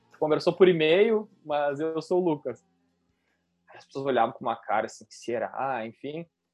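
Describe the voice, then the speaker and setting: This man has a fairly high pitch. He talks at a fairly slow pace. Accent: southern Brazilian. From southern Brazil, Rio Grande do Sul (Serra Gaúcha). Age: 20s. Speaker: wedding and event photographer. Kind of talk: interview.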